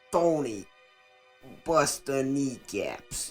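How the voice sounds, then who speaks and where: A put-on character voice at a low-to-middle pitch plays over faint music in the background. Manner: threatening, mock-tough.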